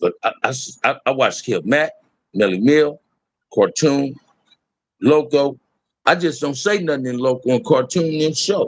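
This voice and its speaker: A man talks at a fairly slow pace with lively intonation, leaving long, frequent pauses. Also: fairly high pitch for a man. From Los Angeles, US. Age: 60s. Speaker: YouTube livestream host. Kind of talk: casual livestream chat.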